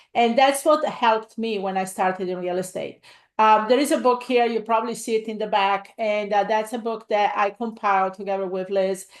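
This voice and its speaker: Fairly quick, fairly even speech in an Italian accent with hardly any pauses, over a quiet background. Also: woman, fairly high pitch for a woman. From Italy. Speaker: real estate investor and coach. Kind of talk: live webinar presentation. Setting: livestream. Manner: halting, many fillers.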